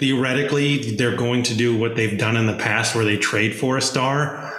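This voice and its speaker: Man's voice at medium pitch, monotone and flat, very even in loudness, fairly quick with hardly any pauses, against noticeable background noise. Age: 30s. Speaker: sports podcast host. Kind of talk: casual chat.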